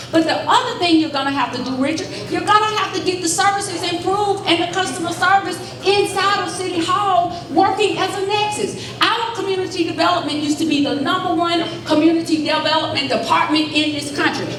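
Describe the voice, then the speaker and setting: Amid noticeable background noise and audible room echo, a woman talks at a fairly quick pace in an animated tone with an extremely high pitch and ordinary pitch variation. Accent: Southern US. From Alabama, Birmingham. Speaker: political candidate. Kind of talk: campaign town hall speech.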